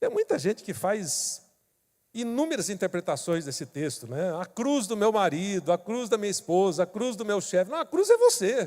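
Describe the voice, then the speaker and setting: At a moderate pace, a man with a high pitch speaks with very wide pitch swings in a dry, close sound with no echo. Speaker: pastor. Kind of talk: sermon.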